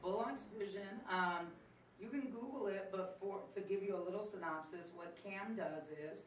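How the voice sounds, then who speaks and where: Audible room echo and noticeable background noise around a female voice. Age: 60s. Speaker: comedian and mother. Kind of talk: interview. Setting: livestream interview.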